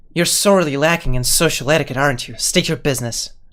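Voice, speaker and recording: Put on as a character voice, the hissing delivery races along at a very fast pace in a low-to-middle pitch. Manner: hissing, sneering.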